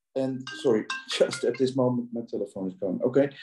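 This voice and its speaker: A man with a Dutch accent speaks at a medium pitch. His tone is dark and mellow. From Netherlands. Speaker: audience member asking questions. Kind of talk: Q&A question. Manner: halting, many fillers.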